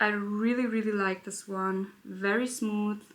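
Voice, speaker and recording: A woman speaks in a German accent at a fairly slow pace. Her medium-pitched voice has a bright, sharp tone. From Germany, Berlin. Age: 20s. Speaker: beauty YouTuber. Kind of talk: casual chat. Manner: halting.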